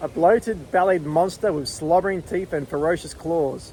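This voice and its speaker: Against noticeable background noise, a man speaks at a high pitch and a moderate pace with ordinary pitch variation. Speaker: novelist teaching writing. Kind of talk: tutorial.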